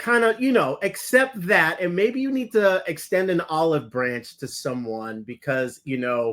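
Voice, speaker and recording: A man speaks at a fairly slow pace with hardly any pauses. His voice is high, with very wide pitch swings. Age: 50s. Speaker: podcast co-host. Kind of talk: casual chat.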